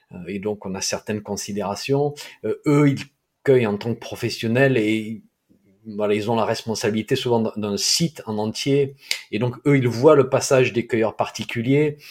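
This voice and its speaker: A medium-pitched man with a southeastern French accent, ordinary pitch variation and a fairly slow pace. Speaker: podcast host, herbal medicine blogger. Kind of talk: interview.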